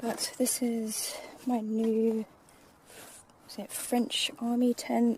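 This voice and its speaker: A woman speaks with an English accent and a fairly high pitch. Her intonation is monotone and flat. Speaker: vlogger. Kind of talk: casual vlog narration. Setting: outdoors in woodland.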